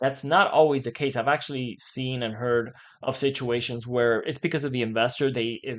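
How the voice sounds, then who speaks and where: Over a quiet background, the speaker talks at a moderate pace with fairly even intonation in a plain, everyday voice. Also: man. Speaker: mortgage broker and real estate show host. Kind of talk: casual market commentary.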